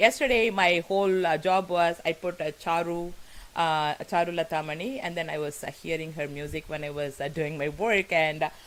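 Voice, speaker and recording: A woman with a Tamil accent speaks in a fairly low pitch. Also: ordinary pitch variation, moderate pace. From South India (Tamil). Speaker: talk show host. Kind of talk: live interview introduction. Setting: live broadcast. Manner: halting, many fillers; animated.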